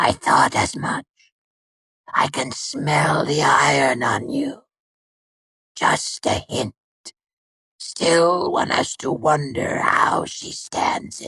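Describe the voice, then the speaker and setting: Using a put-on, raspy character voice, a man speaks at a fairly high pitch and a very slow pace with long, frequent pauses. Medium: read story. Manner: dry, nonchalant, mocking.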